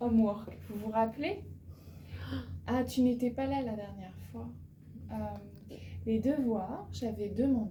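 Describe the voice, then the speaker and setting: A woman at a very slow pace, with long, frequent pauses, big swings in loudness and audible room echo. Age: 40s. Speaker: French teacher. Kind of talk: language lesson. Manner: slow, repeating words and translating into English.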